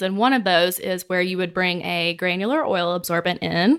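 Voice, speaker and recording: A woman talks at a moderate pace with ordinary pitch variation. Her tone is bright and sharp, and the recording is very clean with a silent background. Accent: Mississippi. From Mississippi (small town). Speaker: business development director. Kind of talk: casual interview chat. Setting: office.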